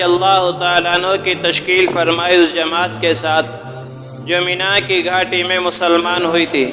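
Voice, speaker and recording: A man's high-pitched, monotone voice with flat intonation over music in the background. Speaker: Islamic scholar giving a religious sermon. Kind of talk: religious sermon / lecture narrating Quranic stories.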